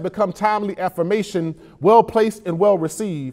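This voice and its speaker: Against a quiet background, a man talks in a dark, mellow tone with ordinary pitch variation. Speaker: poet. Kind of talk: spoken word poetry performance. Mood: earnest, emotional, uplifting. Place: studio. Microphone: lapel.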